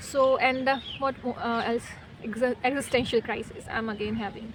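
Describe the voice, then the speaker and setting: Against noticeable background noise, a woman talks at a fairly high pitch with monotone, flat intonation. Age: 20s. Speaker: vlogger. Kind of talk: casual chat. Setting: outdoors. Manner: halting.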